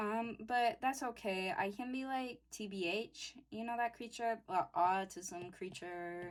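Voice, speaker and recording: With an unremarkable speaking voice, a woman talks at a fairly slow pace with hardly any pauses, using a fairly high pitch and ordinary pitch variation. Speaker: youtuber sharing personal story. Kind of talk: personal story while drawing.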